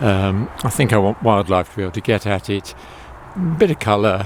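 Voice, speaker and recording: A man's fairly low voice with ordinary pitch variation, a fairly quick pace, long and frequent pauses, and noticeable background noise. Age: old. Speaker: home gardener vlogger. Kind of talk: casual garden tour video. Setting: outdoors in garden. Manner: hesitant, with many fillers.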